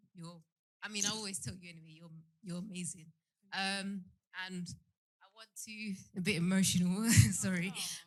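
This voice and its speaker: A woman's somewhat breathy, medium-pitched voice in a London accent, at a moderate pace with long, frequent pauses, fairly even intonation and audible room echo. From South London, Peckham. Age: 30s. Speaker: audience member. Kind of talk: emotional tribute. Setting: live show in a theatre with audience. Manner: halting.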